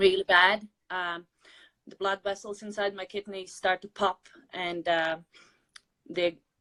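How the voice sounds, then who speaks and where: With a Latvian accent, a woman speaks at a fairly slow pace with long, frequent pauses, her medium pitch held in flat, monotone intonation, her bright, sharp tone swinging widely in loudness, all in a dry, close sound with no echo. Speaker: weight loss interviewee. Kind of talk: interview. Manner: halting.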